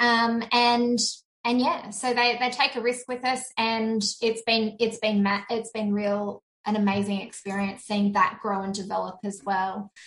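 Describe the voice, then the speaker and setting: The speaker has an Australian accent and talks at a fairly slow pace with fairly even intonation. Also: woman, fairly high pitch for a woman, hardly any pauses. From Sydney, Australia. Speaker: virtual assistant business owner. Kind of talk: interview, personal testimony.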